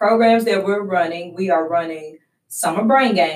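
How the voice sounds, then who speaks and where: A woman with a Southern US accent, at a moderate pace with ordinary pitch variation. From West Tennessee. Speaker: youth program director. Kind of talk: interview.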